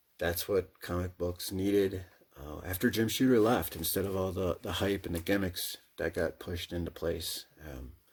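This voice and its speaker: A man with a very deep, low, somewhat breathy voice and an American accent speaks with fairly even intonation on a very clean recording with a silent background. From US Midwest. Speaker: comic book collector and YouTuber. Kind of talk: casual monologue. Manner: halting.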